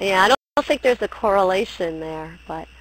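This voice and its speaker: A woman with an American accent speaks in an ordinary speaking voice at a fairly quick pace, her medium pitch showing ordinary variation. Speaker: poet. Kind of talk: interview.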